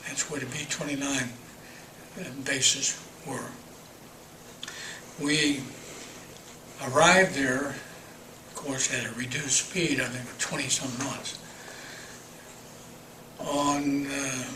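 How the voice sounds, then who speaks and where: Very slow, monotone, flat speech in an American accent, with long, frequent pauses and noticeable background noise. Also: man, fairly high pitch for a man. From Wheeling, West Virginia. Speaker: World War II navy veteran. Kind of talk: oral history interview answer.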